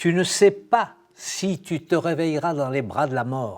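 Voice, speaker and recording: Here a man speaks with a high pitch. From Morocco. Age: 80s+. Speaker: former singer giving testimony. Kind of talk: testimony.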